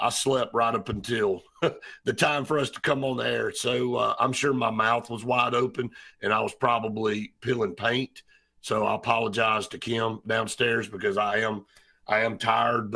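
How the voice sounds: A man's raspy, put-on character voice at a medium pitch, monotone and flat, at a moderate pace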